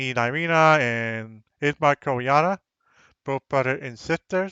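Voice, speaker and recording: The man's pitch sits fairly high, with ordinary variation, and he keeps a fairly slow pace. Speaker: game master. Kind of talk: casual chat. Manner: loud.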